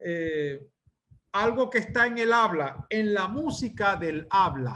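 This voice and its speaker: Raising and projecting his voice, a man with a Maracaibo accent talks at a very slow pace, his tone bright and sharp and his intonation lively. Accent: Venezuelan Spanish, Maracaibo (maracucho). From Venezuela, Maracaibo. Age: 60s. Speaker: literature professor. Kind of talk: lecture. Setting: video call. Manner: halting, with frequent fillers.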